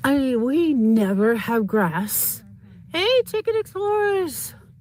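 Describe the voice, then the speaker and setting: Over noticeable background noise, a woman with an American accent talks at a very slow pace, her high pitch swinging very widely. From Boston, US East Coast. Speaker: YouTuber livestreamer. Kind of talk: casual livestream chat. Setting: outdoors, walking on property. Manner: halting.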